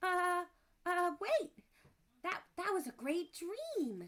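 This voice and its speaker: In a squeaky, put-on character voice, the speaker talks at a very slow pace. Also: woman, extremely high pitch for a woman. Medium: read story.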